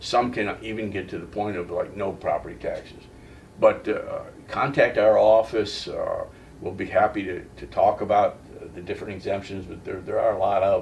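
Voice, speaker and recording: A man talks at a moderate pace with big swings in loudness. Noticeable background noise sits behind him. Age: 70s. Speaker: county property appraiser, Vietnam veteran. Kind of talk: interview. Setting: office. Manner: hesitant, many fillers and repeats.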